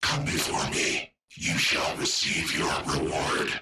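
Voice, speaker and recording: This put-on character voice growls its lines at a fairly slow pace. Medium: video game. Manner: clipped, terse fragments.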